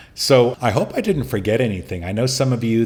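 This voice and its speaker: A man talks with an unremarkable speaking voice. His pace is fairly quick and his pitch varies in an ordinary way. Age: 60s. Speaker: podcast host, prostate cancer survivor. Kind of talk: solo podcast monologue giving advice. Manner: casual, conversational.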